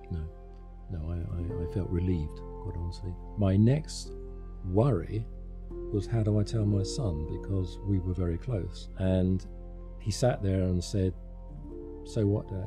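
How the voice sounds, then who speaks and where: A man at a fairly slow pace over clear music in the background. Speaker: interviewee. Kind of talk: interview answer. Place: studio. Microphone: studio mic.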